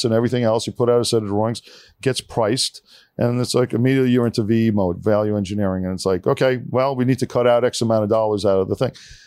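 In a New York accent, a man at medium pitch talks at a very fast pace, the sound dry and close with no echo on a very clean recording with a silent background. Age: 50s. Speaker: engineering firm founder. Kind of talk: casual interview chat. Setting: studio.

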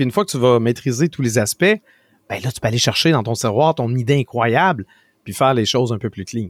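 A man with a Quebec accent at a moderate pace, his sound dry and close with no echo, on a very clean recording with a silent background. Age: 40s. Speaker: tech and video game commentator, streamer. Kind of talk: casual interview.

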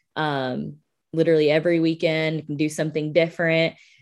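A woman with a Southern US accent speaks at a fairly quick pace in a very deep, low voice with fairly even intonation. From US South, Birmingham, Alabama. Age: 20s. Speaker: public relations specialist. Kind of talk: interview conversation.

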